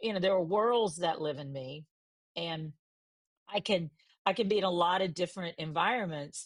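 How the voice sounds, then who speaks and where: This woman's pitch is fairly low, with ordinary variation. She talks at a moderate pace, pausing long and often. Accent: American. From US South, Mississippi. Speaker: journalist. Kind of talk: interview.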